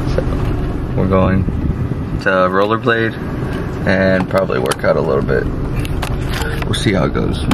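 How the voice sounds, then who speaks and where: Loud background noise fills the clip. A man talks through it at a moderate pace. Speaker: vlogger. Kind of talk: casual vlog chat. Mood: cheerful, playful. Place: car. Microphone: phone near.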